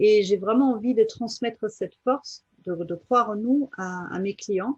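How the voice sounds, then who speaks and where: Somewhat breathy, a woman speaks at a very slow pace with ordinary pitch variation in a dry, close sound with no echo. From Germany. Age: 40s. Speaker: life coach. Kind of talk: interview. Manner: halting, many fillers.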